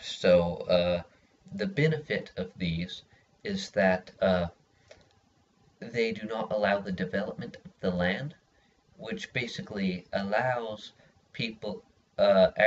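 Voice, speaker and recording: Over music in the background, the voice moves at a very slow pace with long, frequent pauses, lively intonation and big swings in loudness. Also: man, fairly low pitch for a man. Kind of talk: persuasive speech for class. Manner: hesitant, many filler words.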